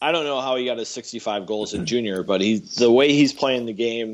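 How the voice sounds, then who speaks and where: A man with an ordinary speaking voice talks at a moderate pace. His pitch is medium, with ordinary pitch variation. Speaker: co-host sports podcaster. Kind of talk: casual sports podcast chat. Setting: remote call with poor connection.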